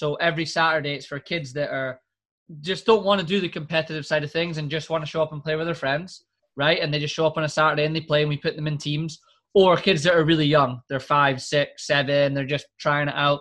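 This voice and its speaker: Speaking very fast in a Scottish accent, the man has a bright, sharp tone, fairly high pitch, and fairly even intonation. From Scotland. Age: 20s. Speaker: podcast host. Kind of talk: casual chat.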